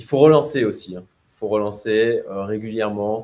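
His pace is fairly slow. The man speaks at a medium pitch. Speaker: entrepreneur and livestreamer. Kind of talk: livestream Q&A about expatriation. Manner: hesitant, many fillers.

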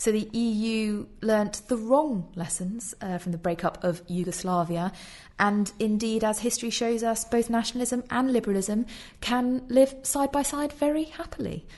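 Against a quiet background, a woman speaks at a moderate pace in a fairly high pitch with ordinary pitch variation. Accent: British. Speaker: podcast host. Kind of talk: casual discussion of an article.

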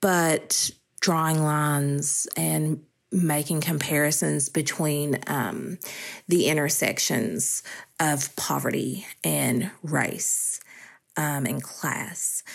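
This speaker has an Appalachian accent and talks very slowly with fairly even intonation. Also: woman, very deep, low pitch for a woman. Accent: Appalachian Southern US. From US South, eastern Kentucky Appalachia. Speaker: poetry researcher. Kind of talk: interview.

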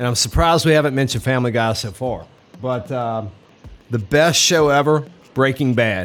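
Music plays in the background as a man talks at a fairly quick pace. His pitch is medium, with ordinary variation. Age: 40s. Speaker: podcast co-host. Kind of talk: casual chat.

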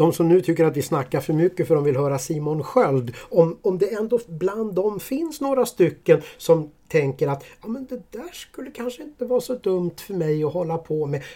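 This man has a high pitch and a dark, mellow tone. His intonation is lively, his pace moderate, with hardly any pauses. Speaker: podcast co-host. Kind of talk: casual chat.

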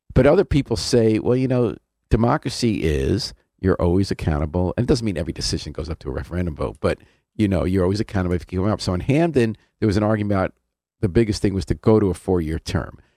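Over a very clean recording with a silent background and a dry, close sound with no echo, a man with an American accent speaks very fast at a fairly low pitch, with a dark, mellow tone, lively intonation and vocal fry. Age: 70s. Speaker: community radio host. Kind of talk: casual interview. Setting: radio studio.

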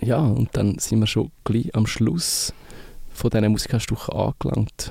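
A man's voice, dry and close with no echo. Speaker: radio host. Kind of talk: casual chat.

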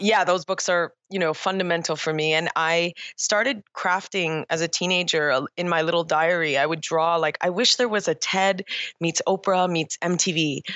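Speaking at a moderate pace with a Canadian accent, a woman with an ordinary speaking voice keeps a fairly low pitch, fairly even intonation and very even loudness. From Toronto, Canada. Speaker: entrepreneur and conference founder. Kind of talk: interview.

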